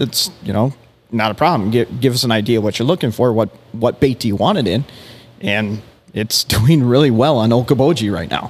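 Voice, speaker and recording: Using a normal speaking voice with an American accent, a man speaks fairly quickly at a medium pitch with lively intonation. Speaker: fishing bait company executive. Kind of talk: casual chat.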